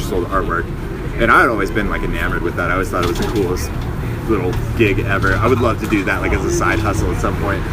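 Noticeable background noise and audible room echo accompany a man speaking with an American accent. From Southern California. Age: 30s. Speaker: BMX rider and street vendor. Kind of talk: casual interview.

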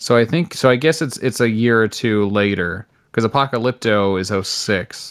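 An unremarkable speaking voice from a man with an American accent, moderate pace and ordinary pitch variation. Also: medium pitch for a man. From New Jersey. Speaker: podcaster and TV writer. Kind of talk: casual chat.

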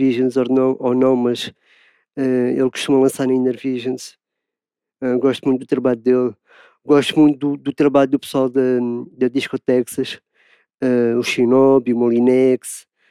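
At a moderate pace, a man with a dark, mellow tone and medium pitch speaks in a flat monotone, leaving long, frequent pauses, in a dry, close sound with no echo. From Portugal, Lisbon. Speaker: DJ and music producer. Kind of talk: interview monologue. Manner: halting, many repetitions and fillers.

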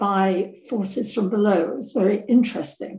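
A dark, mellow tone, somewhat breathy, moves at a moderate pace with ordinary pitch variation. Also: woman. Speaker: academic audience member. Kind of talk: Q&A question. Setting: video call. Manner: halting.

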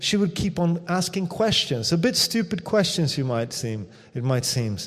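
A man with a Swedish accent, high in pitch, at a moderate pace and with lively intonation. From Sweden. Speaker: missionary pastor. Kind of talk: sermon. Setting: church.

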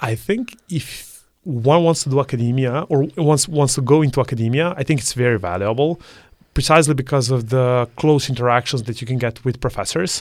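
A man talks at a fairly quick pace with ordinary pitch variation. His accent is Serbian. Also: medium pitch for a man, very clean recording, silent background. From Serbia, Belgrade. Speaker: math student. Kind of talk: interview.

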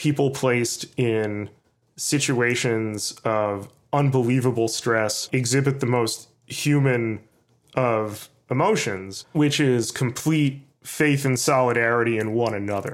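With an American accent, a man speaks very slowly with fairly even intonation and very even loudness on a very clean recording with a silent background. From New York City. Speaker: journalist. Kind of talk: interview.

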